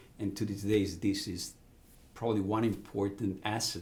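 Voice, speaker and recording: With an Italian accent, a man talks in a fairly low pitch and a somewhat breathy voice, keeping fairly even intonation amid audible room echo. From Italy, Ravenna on the Adriatic coast. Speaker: business executive. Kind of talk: interview. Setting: podcast.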